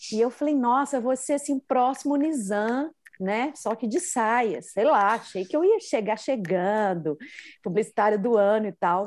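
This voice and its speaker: In a Minas Gerais accent, a woman with a fairly high pitch speaks at a fairly slow pace with lively intonation, on a very clean recording with a silent background. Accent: mineiro (Minas Gerais). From Minas Gerais, Brazil. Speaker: podcaster and journalist. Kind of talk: casual interview chat.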